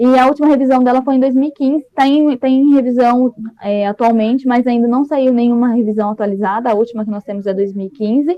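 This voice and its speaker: A woman's high-pitched voice at a very fast pace, hardly any pauses, ordinary pitch variation. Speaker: master's degree candidate. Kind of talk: academic thesis presentation. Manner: hesitant, many fillers. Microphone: connection stuttering for one listener.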